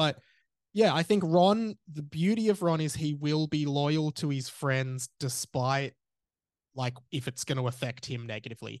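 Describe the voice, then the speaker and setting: Fairly slow and fairly high-pitched, a man with an Australian accent speaks with ordinary pitch variation in a dry, close sound with no echo and a quiet background. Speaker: podcast host. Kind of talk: casual chat. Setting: remote call.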